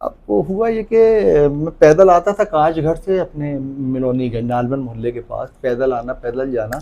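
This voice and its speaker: Lively intonation marks a man's dark, mellow tone at a fairly high pitch. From Jabalpur, central India. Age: 60s. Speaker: comedian. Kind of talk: interview.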